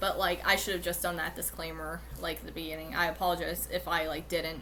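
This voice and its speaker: A woman speaks fairly quickly, with audible room echo around her. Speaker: YouTuber. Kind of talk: casual monologue video. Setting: recorded at home on computer. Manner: halting, many fillers.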